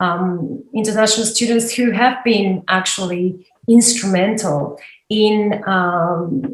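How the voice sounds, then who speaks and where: The speaker is a woman. She has an Argentine accent. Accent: non-Australian, Argentine. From Argentina, Patagonia. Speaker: university lecturer. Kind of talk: interview.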